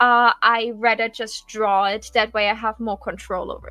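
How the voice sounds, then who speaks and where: A woman with a non-native accent speaks fairly slowly in a high pitch with a bright, sharp tone. The sound is dry and close, with no echo. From Germany. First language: not English. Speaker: streamer and co-creator. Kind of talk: casual chat. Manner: halting.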